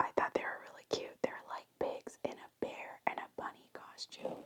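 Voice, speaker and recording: Someone whispers at a moderate pace. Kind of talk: whispered ASMR toy haul, casual talk to camera. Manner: whispered, soft.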